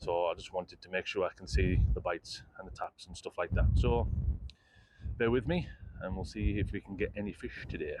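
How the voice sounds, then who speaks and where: The pace is fairly quick, with big swings in loudness. Noticeable background noise sits behind the voice. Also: man. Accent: British. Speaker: fishing vlogger. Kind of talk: casual vlog to camera. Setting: outdoors on a pier. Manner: upbeat, chatty.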